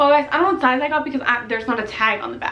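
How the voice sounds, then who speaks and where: A woman with a high-pitched voice talks while noticeable background noise carries on behind her. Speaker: YouTuber and wedding photographer. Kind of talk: casual haul video talk. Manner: fast; chatty, filler-heavy.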